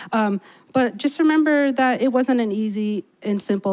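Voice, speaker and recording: This woman talks in an ordinary speaking voice, with ordinary pitch variation and a moderate pace. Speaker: emergency medicine doctor, speaker. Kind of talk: speech to audience.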